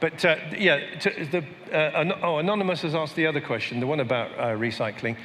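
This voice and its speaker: With a British accent, a man talks at a fairly quick pace and a fairly high pitch, his voice swinging very widely in pitch amid audible room echo and noticeable background noise. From Britain. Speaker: panel moderator. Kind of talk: panel discussion. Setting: stage with audience.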